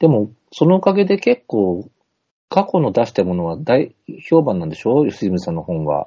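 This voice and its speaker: With very wide swings in pitch, a man talks from a medium pitch base. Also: moderate pace. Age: 50s. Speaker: poet and comedian. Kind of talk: casual chat. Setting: video call.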